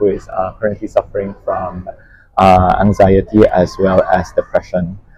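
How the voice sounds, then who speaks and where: A man with a Filipino accent speaks at a moderate pace. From Philippines, Chinese Filipino. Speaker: life coach. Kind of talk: interview.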